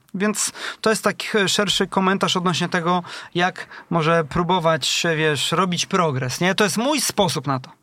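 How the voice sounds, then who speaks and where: At a moderate pace, the speaker's bright, sharp tone moves with ordinary pitch variation. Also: man, high pitch for a man. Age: 30s. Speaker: startup founder. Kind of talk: interview.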